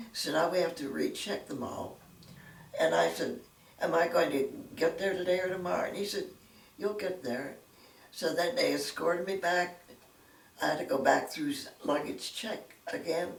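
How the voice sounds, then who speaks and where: Amid audible room echo, a woman with an American accent talks at a moderate pace with long, frequent pauses. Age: 90s. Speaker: retired secretary. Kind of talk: interview storytelling.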